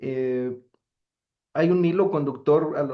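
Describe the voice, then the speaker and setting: A man speaks with ordinary pitch variation. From Colombia, Boyacá. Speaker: academic researcher and activist. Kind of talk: conference talk. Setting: lecture hall with audience. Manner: halting, many fillers.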